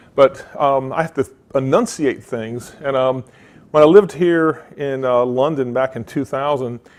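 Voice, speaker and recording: A man with a Southern US accent, fairly high in pitch, at a fairly slow pace with ordinary pitch variation. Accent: Southern US drawl. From US South, Mississippi. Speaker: tech conference speaker. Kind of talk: conference talk with demo.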